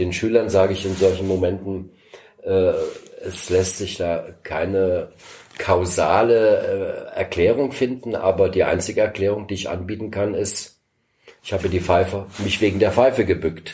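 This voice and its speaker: A man talks at a fairly slow pace in a dark, mellow, somewhat breathy tone, with fairly even intonation and long, frequent pauses. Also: fairly low pitch for a man. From East Berlin, Germany. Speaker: former political prisoner and escape helper. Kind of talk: interview testimony.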